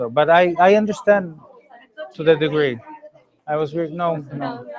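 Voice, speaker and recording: A man with an unremarkable speaking voice and fairly high pitch talks at a moderate pace with ordinary pitch variation. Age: 40s. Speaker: energy healing teacher. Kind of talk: Q&A after a workshop. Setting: public talk without microphone.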